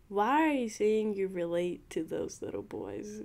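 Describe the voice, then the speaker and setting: A woman speaks at a very slow pace. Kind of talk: ASMR roleplay. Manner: flirty, teasing.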